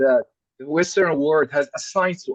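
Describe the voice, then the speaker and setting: In an Arabic accent, a man talks in a dry, close sound with no echo. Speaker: scholar. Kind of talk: panel discussion. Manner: halting.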